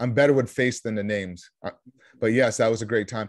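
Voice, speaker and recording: A man talks fairly quickly in an American accent. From Vermont, US. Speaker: real estate investor. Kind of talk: interview. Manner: animated.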